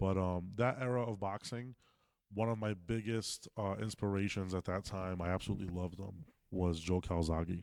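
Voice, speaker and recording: A man with a fairly low pitch speaks at a moderate pace. The recording is very clean, with a silent background. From Massachusetts (Fall River). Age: 30s. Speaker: boxing coach. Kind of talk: casual interview. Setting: boxing gym. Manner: animated.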